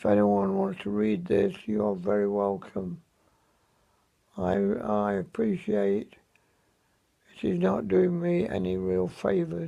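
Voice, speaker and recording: Very slowly, a man speaks with an English accent and long, frequent pauses. His pitch is fairly low and his tone dark and mellow. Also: lively intonation. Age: 70s. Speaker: vlogger. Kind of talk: personal video diary. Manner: halting.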